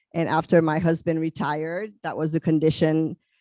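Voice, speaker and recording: A woman with a Haitian accent, a very deep, low pitch and a dark, mellow tone, in a dry, close sound with no echo against a quiet background. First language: French and Haitian Creole. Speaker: psychologist. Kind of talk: panel talk. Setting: convention panel.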